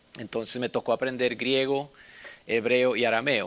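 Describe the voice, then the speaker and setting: A man at a moderate pace, in a monotone, flat intonation. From Bolivia. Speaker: Bible instructor. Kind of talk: personal introduction. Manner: casual, with many filler sounds.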